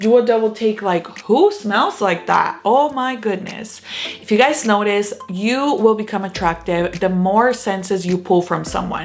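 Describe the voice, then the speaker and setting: Music plays in the background. A woman speaks at a moderate pace with a fairly high pitch. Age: 30s. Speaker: lifestyle vlogger. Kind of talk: advice talk to camera. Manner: polished news-anchor style delivery.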